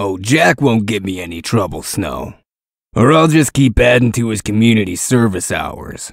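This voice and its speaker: A man puts on a character voice at a medium pitch. His pace is moderate. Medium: dub.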